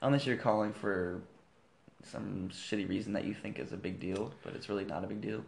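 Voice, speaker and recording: Fairly low in pitch with vocal fry, a man talks at a fairly quick pace with ordinary pitch variation. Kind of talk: infomercial pitchman parody. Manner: loud, upbeat, hard-sell patter with exaggerated salesman enthusiasm.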